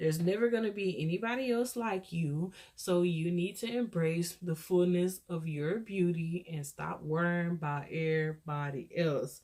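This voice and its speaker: A woman with an American accent speaks at a fairly low pitch with ordinary pitch variation and hardly any pauses. Noticeable background noise runs underneath. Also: moderate pace. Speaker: YouTuber. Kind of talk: casual, motivational.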